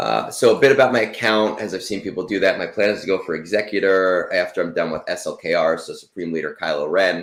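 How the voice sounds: A man talks fast with few pauses, in a low pitch. His tone is fairly bright, with ordinary pitch variation.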